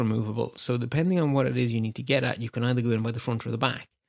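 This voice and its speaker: Here a man speaks at a medium pitch in an Irish accent. His pace is very fast. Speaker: tech podcast host. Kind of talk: solo news roundup. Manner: rambling, conversational.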